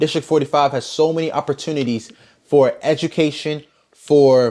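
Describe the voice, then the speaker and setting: Animated in tone, a man in a Baltimore accent speaks at a fairly high pitch with ordinary pitch variation. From Baltimore, Maryland. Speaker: podcast guest. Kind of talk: casual chat.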